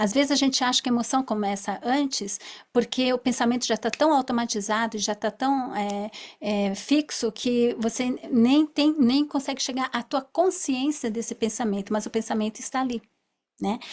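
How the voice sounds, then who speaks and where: The very clean recording, with a silent background, captures a woman speaking at a high pitch. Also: ordinary pitch variation, moderate pace. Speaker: therapist. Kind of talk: lecture.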